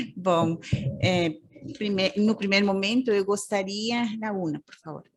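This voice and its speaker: A woman with a Costa Rican accent speaks at a fairly slow pace, with big swings in loudness. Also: medium pitch for a woman, ordinary pitch variation. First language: Spanish (speaking Portuguese). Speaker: social work professor. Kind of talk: conference presentation. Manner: halting, many fillers.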